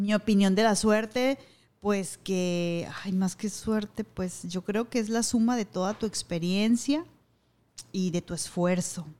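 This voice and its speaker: The tone is dark and mellow, with ordinary pitch variation. The pace is very slow. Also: woman, medium pitch for a woman. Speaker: radio announcer and TV news anchor. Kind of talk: casual interview.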